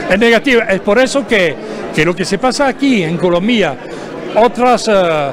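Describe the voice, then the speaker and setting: Through noticeable background noise, a man with a French accent and a high pitch speaks at a fairly slow pace with lively intonation. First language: French (speaking Spanish). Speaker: labour union leader, political delegate. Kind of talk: TV interview. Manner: halting, many fillers and false starts.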